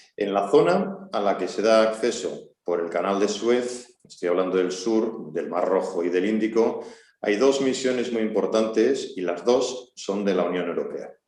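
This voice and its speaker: Room echo is audible as a man talks fairly slowly at a medium pitch. His pitch varies in an ordinary way, and he hardly pauses. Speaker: army colonel, seminar speaker. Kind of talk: seminar talk.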